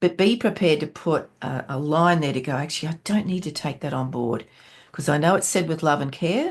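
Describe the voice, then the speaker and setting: The woman's pitch is very deep and low, with ordinary variation. She talks at a fairly quick pace. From Australia. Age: 60s. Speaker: entrepreneur and business mentor. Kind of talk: podcast interview.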